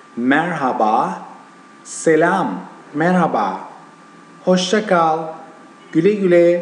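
A man's voice over noticeable background noise. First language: Turkish. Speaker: language teacher. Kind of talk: language lesson to camera.

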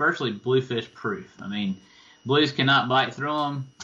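Speaking with an American accent, a man goes at a fairly slow pace with ordinary pitch variation. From eastern North Carolina (Tarboro); North Carolina. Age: 40s. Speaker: fishing guide. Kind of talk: interview. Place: home room. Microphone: video call.

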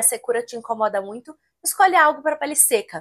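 A moderate pace against a quiet background. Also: woman. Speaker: esthetician; skincare content creator. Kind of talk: tutorial.

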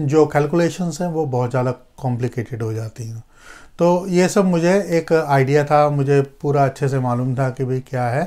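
The background is quiet. Speech moves at a fairly slow pace. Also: man. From India. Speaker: astrologer and healer; astrology vlogger. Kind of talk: personal storytelling vlog. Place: home room. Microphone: lapel.

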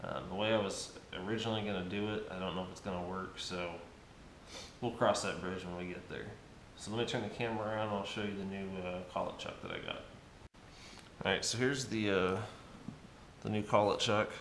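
There is audible room echo and light background noise as a man talks at a very fast pace with fairly even intonation, broken by long, frequent pauses. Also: fairly low pitch for a man. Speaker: machinist and fabricator YouTuber. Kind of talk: workshop tutorial vlog. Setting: home workshop. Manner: casual with frequent fillers. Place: garage.

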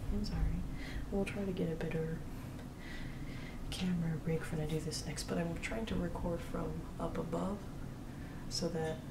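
Loud background noise runs behind a woman speaking at a moderate pace. She leaves long, frequent pauses. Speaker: ASMR artist. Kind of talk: ASMR soft-spoken talk to camera while drawing.

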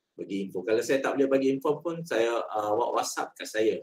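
This is a man speaking. His pace is fairly quick. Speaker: head of records and alumni unit. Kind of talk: briefing. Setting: video call. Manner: halting. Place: office.

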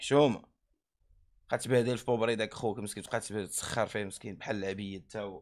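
Over a quiet background, a man with a fairly low pitch talks at a moderate pace, his intonation fairly even while his loudness swings widely. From Morocco. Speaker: streamer. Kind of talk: angry rant. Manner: heated; repetitive. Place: home room. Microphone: studio mic.

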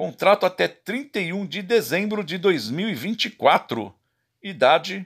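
Very wide pitch swings from a man with a high voice at a very slow pace, in a very clean recording with a silent background. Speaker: football YouTuber. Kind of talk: list reading of player contracts.

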